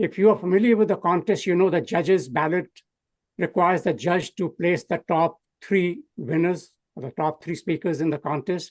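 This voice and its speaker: A man's high voice at a moderate pace, dry and close with no echo, over a quiet background. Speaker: public speaking trainer and contest speaker. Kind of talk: training talk.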